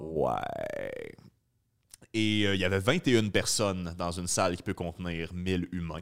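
With a Quebec accent, a man speaks very slowly in a very deep, low pitch with ordinary pitch variation. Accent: Québécois French. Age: 30s. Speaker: podcast host, comedian. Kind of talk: casual interview chat.

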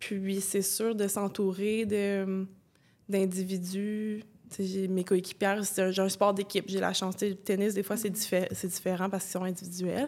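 A woman of medium pitch at a fairly slow pace, her intonation monotone and flat. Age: 20s. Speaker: former athlete. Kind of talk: testimony.

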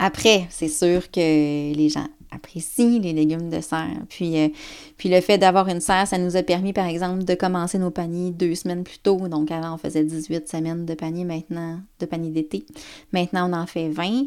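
Her voice sits at a fairly low pitch with fairly even intonation. This woman is heard on a very clean recording with a silent background. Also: moderate pace. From Quebec, Côte-Nord. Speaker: organic farmer and farm organization president. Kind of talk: interview. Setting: at the farm. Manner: hesitant, many fillers.

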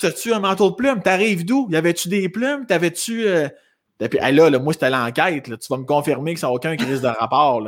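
With a Quebec accent, a high-voiced man swings his pitch very widely on a very clean recording with a silent background. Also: fairly quick pace. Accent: Québécois French. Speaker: suicide prevention fundraiser. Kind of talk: testimony. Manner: halting.

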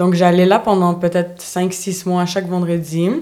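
A woman with a plain, everyday voice, medium pitch and a fairly slow pace. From Montreal, Quebec (born in Bulgaria). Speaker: dance and fitness instructor. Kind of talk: casual chat. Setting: studio.

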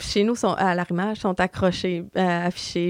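A woman speaks at a moderate pace in a medium pitch with flat, monotone intonation, recorded very cleanly against a silent background with a dry, close sound and no echo. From Quebec, Lac-Saint-Jean (Dolbeau). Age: 30s. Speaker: community mental health worker. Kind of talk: podcast interview.

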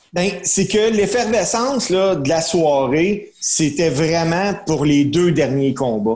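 Over noticeable background noise, a man with a high voice and lively intonation talks at a very slow pace, his loudness very even and hardly any pauses in his speech. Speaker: wrestling commentator. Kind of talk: casual chat.

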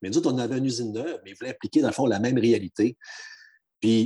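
On a very clean recording with a silent background and a dry, close sound with no echo, a man speaks in a dark, mellow tone at a medium pitch. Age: 50s. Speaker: union regional advisor. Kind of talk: podcast interview.

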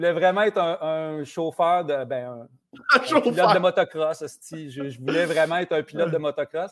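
A man's fairly high voice at a moderate pace, with ordinary pitch variation, a dry, close sound with no echo, and an unremarkable speaking voice. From Quebec, rural village (Saint-Ours). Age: 50s. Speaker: TV host and journalist. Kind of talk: casual interview chat.

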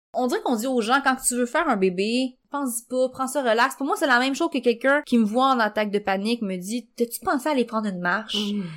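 On a very clean recording with a silent background, a woman with a Quebec accent speaks at a very fast pace with hardly any pauses, high in pitch with ordinary pitch variation. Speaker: journalist and author sharing pregnancy loss. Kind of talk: testimony in casual chat.

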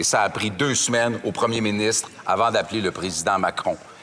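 Someone talks with a Quebec French accent over noticeable background noise. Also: man. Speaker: member of parliament. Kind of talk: parliamentary debate. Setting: legislative chamber.

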